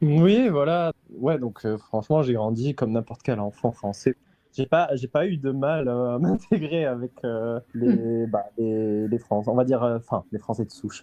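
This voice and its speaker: With an unremarkable speaking voice, a man talks at medium pitch and a fairly slow pace, using ordinary pitch variation. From France. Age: young. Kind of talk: interview answer.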